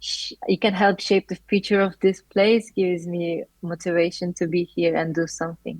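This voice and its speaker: A woman with a Turkish accent, fairly low in pitch, monotone and flat, at a moderate pace. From Turkey. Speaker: master's student. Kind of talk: interview.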